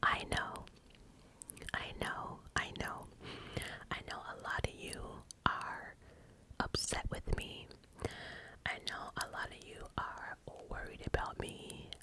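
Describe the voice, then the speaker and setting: Whispering at a very slow pace with long, frequent pauses and big swings in loudness, a woman is heard over noticeable background noise. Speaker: ASMR creator. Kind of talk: casual talk to camera, personal ramble. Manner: whispered, casual, chatty.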